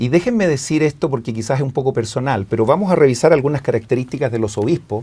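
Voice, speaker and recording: In a Chilean accent, a man talks very fast at a medium pitch, his somewhat breathy voice dark and mellow in tone, with ordinary pitch variation. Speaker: guest on religious scripture program. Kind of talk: casual religious discussion.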